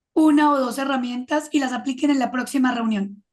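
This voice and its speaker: With fairly even intonation, the woman keeps a high pitch and a moderate pace. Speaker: creativity consultant and adjunct professor. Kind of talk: interview.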